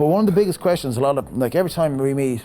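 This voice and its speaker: A man with an Irish accent at a very fast pace, ordinary pitch variation, music in the background. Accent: Irish (Galway). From west of Ireland, Galway. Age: 30s. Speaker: startup founder. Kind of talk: podcast interview. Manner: casual.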